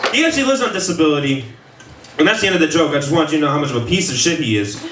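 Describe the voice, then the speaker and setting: Very fast, lively speech from a man at a fairly high pitch, with audible room echo and noticeable background noise. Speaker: stand-up comedian. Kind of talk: stand-up. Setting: stage with audience. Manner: loud.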